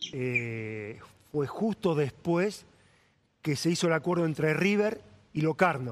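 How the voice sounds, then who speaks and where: A man speaks in a Rioplatense accent at a fairly high pitch, with lively intonation and very even loudness. His pace is very slow, broken by long, frequent pauses. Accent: Argentine Spanish (rioplatense). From Argentina. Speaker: sports journalist. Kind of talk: interview.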